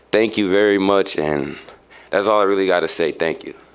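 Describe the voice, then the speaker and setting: A man speaks with an American accent. Noticeable background noise runs underneath. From Chicago, US Midwest. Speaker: nonprofit youth worker giving public comment. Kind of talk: public comment at city meeting. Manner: halting, many fillers.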